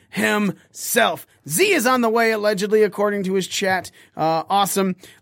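A high-pitched man with a bright, sharp tone speaks in an animated way with a raised, projected voice. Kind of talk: wrestling show opener, hyped-up intro. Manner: loud, profane, animated hype-man energy.

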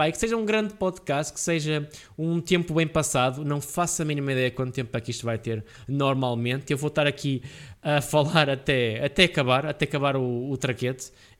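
A man talks with ordinary pitch variation, his fairly high pitch moving at a fairly quick pace. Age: 20s. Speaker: podcast host and gaming streamer. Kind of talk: casual solo monologue. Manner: hesitant, many fillers.

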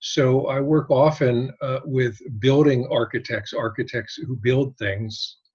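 Very slow and somewhat breathy, a man speaks at a medium pitch with fairly even intonation. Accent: American. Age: 60s. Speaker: photographer. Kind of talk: casual chat. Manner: halting.

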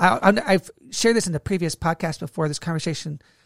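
Very fast speech on a very clean recording with a silent background. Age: 30s. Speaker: leadership podcast co-host, ministry leader. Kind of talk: casual faith-based podcast conversation and personal testimony. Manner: animated.

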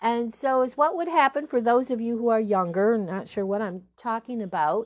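A woman in an unremarkable speaking voice talks at a fairly high pitch with ordinary pitch variation. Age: 60s. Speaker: relationship coach and podcast host. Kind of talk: solo podcast talk.

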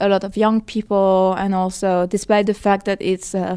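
A woman's dark, mellow voice in a French accent, medium pitch, monotone, flat intonation, moderate pace, in a very clean recording with a silent background. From France. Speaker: film and VR producer. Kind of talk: interview. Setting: conference venue.

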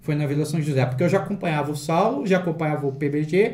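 This man's voice sits fairly high and sounds somewhat breathy. He moves at a fairly quick pace with ordinary pitch variation. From Valinhos, São Paulo state, Brazil. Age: 40s. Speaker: collector and YouTuber. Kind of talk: casual chat.

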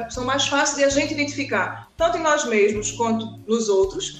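Amid noticeable background noise and audible room echo, a woman speaks with a Recife accent. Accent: northeastern Brazilian (Recife). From Recife, Brazil. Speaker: psychologist. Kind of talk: casual chat.

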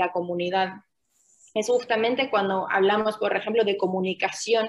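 Her medium-pitched voice stays fairly even in intonation as this woman speaks. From Finland. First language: Finnish (speaking Spanish). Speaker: UN refugee protection officer. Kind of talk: interview.

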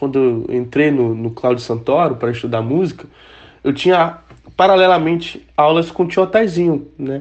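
A man speaks at a moderate pace with ordinary pitch variation in an ordinary speaking voice. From Brazil, Manaus (Amazonas). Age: 20s. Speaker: musician. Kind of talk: interview.

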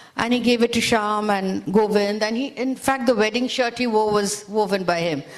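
Noticeable background noise behind a woman's fairly high, fairly even voice at a moderate pace, with hardly any pauses. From India, Calcutta. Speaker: author. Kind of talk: panel interview at literature festival. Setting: stage with audience.

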